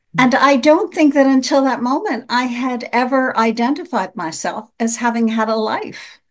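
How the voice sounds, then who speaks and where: With an American accent, a woman speaks at a moderate pace in a plain, everyday voice, fairly high in pitch with ordinary pitch variation, against a quiet background. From US, New York City suburbs. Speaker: coach and event producer. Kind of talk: radio interview.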